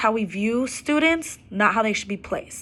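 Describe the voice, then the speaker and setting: A woman's fairly high-pitched voice with a bright, sharp tone. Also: very clean recording, silent background. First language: Arabic and Spanish. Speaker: student and preschool administrative assistant. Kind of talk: class assignment video presentation. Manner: hesitant with frequent fillers.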